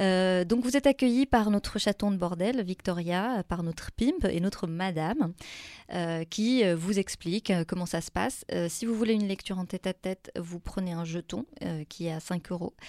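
A woman speaks at a medium pitch and a moderate pace, with ordinary pitch variation and a dark, mellow tone. The sound is dry and close with no echo, on a very clean recording with a silent background. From Morocco (Tan-Tan, south). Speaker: poet. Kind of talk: interview. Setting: studio.

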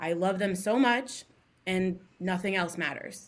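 A moderate pace with an American accent. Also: woman. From US Midwest, Columbus, Ohio. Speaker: fashion creative. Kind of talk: casual chat.

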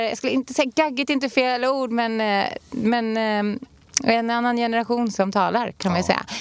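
Speaking with an unremarkable speaking voice, a woman with a fairly high pitch keeps fairly even intonation at a moderate pace. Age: 30s. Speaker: podcast co-host. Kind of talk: casual chat.

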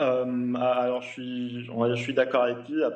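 This voice belongs to a man. It stays at a medium pitch. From Tunisia. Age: 30s. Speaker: engineer. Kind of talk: TV panel interview. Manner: hesitant, repetitive.

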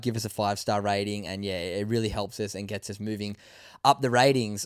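A fairly low-pitched male voice with fairly even intonation. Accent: Australian. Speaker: podcast host. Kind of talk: casual interview. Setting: live at festival.

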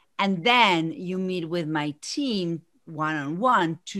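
In a very clean recording with a silent background, a woman with an unremarkable speaking voice talks at a fairly low pitch with lively intonation. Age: 40s. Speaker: business coach. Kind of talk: interview.

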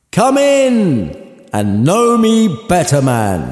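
A man speaks in a put-on character voice at a high pitch. His pace is very slow. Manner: jolly, welcoming.

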